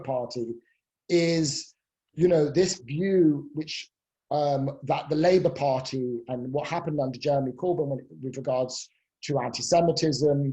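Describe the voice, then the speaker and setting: With a British accent, this speaker keeps a moderate pace. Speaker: professor. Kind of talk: expert Q&A in a webinar. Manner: hesitant, many fillers.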